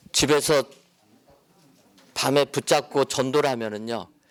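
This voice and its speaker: This man's delivery is fairly slow, his pitch medium and its variation ordinary. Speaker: pastor and lecturer. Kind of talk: lecture. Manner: calm, gentle.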